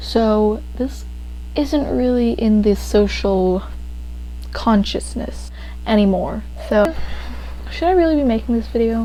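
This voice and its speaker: A woman speaks with long, frequent pauses against noticeable background noise. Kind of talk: casual video essay talk to camera. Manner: rambling, casual.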